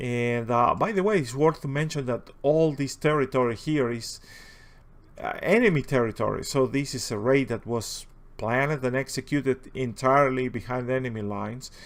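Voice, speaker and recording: A strong Spanish accent at a moderate pace with ordinary pitch variation, on a very clean recording with a silent background. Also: man, medium pitch for a man. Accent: heavy Spanish. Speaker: video game commentator. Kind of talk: gameplay commentary. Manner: halting, many fillers.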